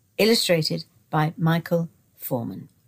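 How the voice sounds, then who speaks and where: A somewhat breathy woman is heard on a very clean recording with a silent background. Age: 70s. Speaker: narrator. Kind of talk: reading aloud. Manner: formal.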